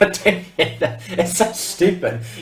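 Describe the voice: This clip is plain reading aloud. It is read plainly throughout.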